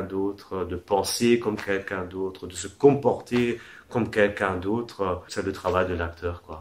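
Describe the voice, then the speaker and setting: Audible room echo surrounds the voice. A man talks at a fairly slow pace. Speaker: acting teacher. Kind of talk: lecture.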